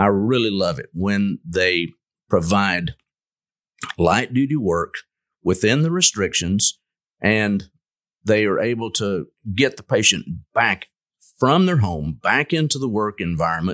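With a Texan accent and lively intonation, the speaker goes at a fairly slow pace with long, frequent pauses, in a very clean recording with a silent background and a dry, close sound with no echo. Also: man, fairly low pitch for a man. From West Texas (Lubbock area). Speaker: orthopedic surgeon. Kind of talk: casual interview.

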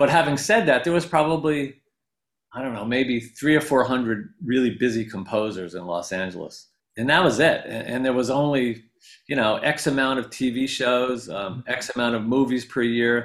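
A man with a normal speaking voice at medium pitch talks at a moderate pace with ordinary pitch variation, in a very clean recording with a silent background. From upstate New York. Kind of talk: interview.

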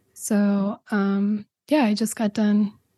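A woman speaks very slowly in a fairly high, somewhat breathy voice with a dark, mellow tone and monotone, flat intonation. The sound is dry and close with no echo, over a quiet background. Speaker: podcast creator and presenter. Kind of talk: interview about her own podcast.

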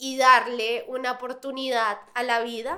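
A woman projects a raised voice at a very slow pace. Her tone is bright and sharp, her pitch high. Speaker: podcast host. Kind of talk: casual interview. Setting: studio.

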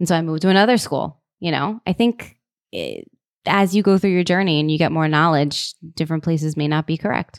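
An ordinary speaking voice from a woman, fairly low in pitch, at a fairly quick pace with ordinary pitch variation, dry and close with no echo. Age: 30s. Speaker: student pilot and ground instructor. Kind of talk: casual chat.

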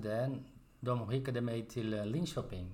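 Against audible room echo, a man with a Portuguese accent speaks at medium pitch in a dark, mellow tone with fairly even intonation. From Brazil. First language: Portuguese (speaking Swedish). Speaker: spinal cord injury survivor, podcast member. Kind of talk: casual chat. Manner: halting, with fillers.

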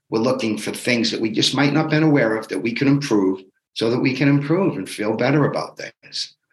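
A man with a plain, everyday voice talks at a fairly quick pace, his medium pitch showing ordinary pitch variation. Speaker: fitness bootcamp coach. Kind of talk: pep talk. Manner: motivational, upbeat, urging.

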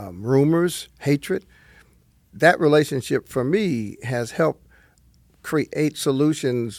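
On a very clean recording with a silent background and a dry, close sound with no echo, a man talks at a fairly slow pace with a New Jersey accent. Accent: New Jersey American English. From northern New Jersey. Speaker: retired pastor, nonprofit chairman. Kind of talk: interview conversation.

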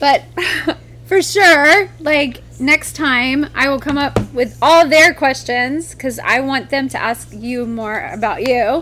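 At a very slow pace, a woman with an American accent uses a raised, projected voice at a high pitch. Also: ordinary pitch variation. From Texas. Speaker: podcast host, former adult film performer. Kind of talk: casual chat.

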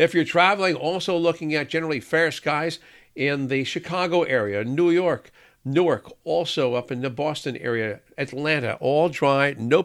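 At a moderate pace, a man speaks in an unremarkable speaking voice of fairly high pitch with ordinary pitch variation. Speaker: meteorologist. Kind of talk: solo weather forecast rundown of airport hubs. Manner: brisk, upbeat forecaster cadence with occasional 'uh' fillers; friendly, reassuring sign-off tone.

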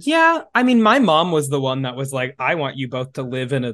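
A man speaks with an American accent. He has a plain, everyday voice. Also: quiet background. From US Midwest. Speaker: podcast host. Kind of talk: casual chat.

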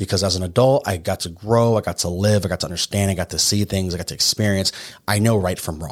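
With ordinary pitch variation, a man speaks at a very fast pace. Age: 30s. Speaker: podcast host, military veteran. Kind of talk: solo motivational monologue. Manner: animated.

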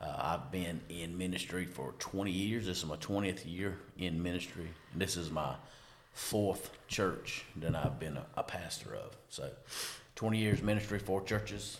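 A man speaks at a fairly slow pace with a very deep, low pitch. His pitch varies in an ordinary way, and the room echo is audible. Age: 40s. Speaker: pastor and podcast host. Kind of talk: casual chat.

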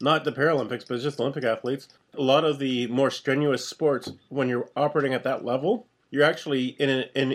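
Here is a man with an ordinary speaking voice at a medium pitch. His delivery is fairly quick, with fairly even intonation. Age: middle-aged. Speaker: podcast co-host. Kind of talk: casual chat.

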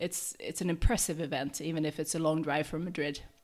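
A woman speaks at a low pitch. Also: slightly mellow tone.

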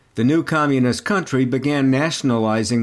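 A man's medium-pitched delivery shows ordinary pitch variation in a plain, everyday voice. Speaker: podcast host/narrator. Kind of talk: scripted narration.

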